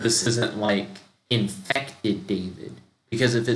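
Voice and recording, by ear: The intonation here is fairly even. Someone is reading aloud in a natural voice against a quiet background.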